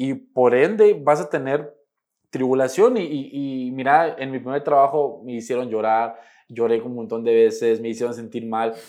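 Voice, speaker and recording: At a moderate pace, the speaker uses a dark, mellow tone whose pitch varies in an ordinary way. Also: man, medium pitch for a man. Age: 20s. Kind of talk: podcast interview. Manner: halting, many repeated words.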